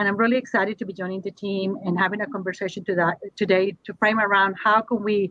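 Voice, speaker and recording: Speaking at a fairly quick pace, a woman with a Spanish accent uses fairly even intonation at a medium pitch. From Colombia, Bogota. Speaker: university administrator, panelist. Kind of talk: panel discussion.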